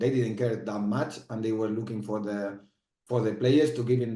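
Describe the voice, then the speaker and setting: A man speaks in a Spanish accent at a moderate pace and fairly low pitch, his tone dark and mellow. His intonation is fairly even, and audible room echo surrounds the recording. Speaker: former footballer and football manager. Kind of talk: interview. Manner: halting, with frequent repetitions.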